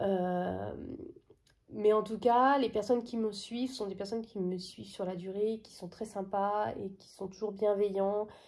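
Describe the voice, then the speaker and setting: A woman speaks at a fairly slow pace in a monotone, flat delivery with a medium pitch. Her loudness swings widely from moment to moment. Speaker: coloring hobby vlogger. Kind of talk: casual vlog talk to camera. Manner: halting, many hesitations.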